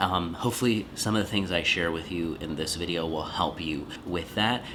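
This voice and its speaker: Soft-spoken and very deep, a man's low voice shows ordinary pitch variation against noticeable background noise. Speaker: podcast coach and creator. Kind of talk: casual vlog talk.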